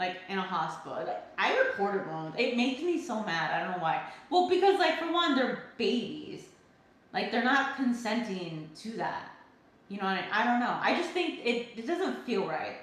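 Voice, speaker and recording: Loud, animated speech at a moderate pace, with very wide pitch swings and audible room echo. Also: woman, fairly high pitch for a woman. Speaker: livestreamer, soap maker. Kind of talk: casual chat. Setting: livestream.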